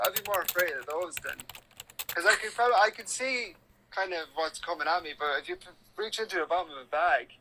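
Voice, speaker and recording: Someone with an Irish accent talks at a very fast pace over noticeable background noise. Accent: Irish, normal everyday. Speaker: live streamer. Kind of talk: casual chat.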